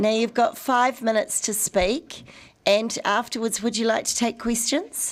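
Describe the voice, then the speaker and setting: Fairly high in pitch, a woman speaks with a New Zealand accent. Her pace is fairly slow and her intonation fairly even. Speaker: committee chair. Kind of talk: formal meeting chairing.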